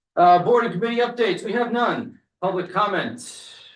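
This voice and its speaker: A man's voice with audible room echo. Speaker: select board chair. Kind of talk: public meeting chairing. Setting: town meeting room. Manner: fast.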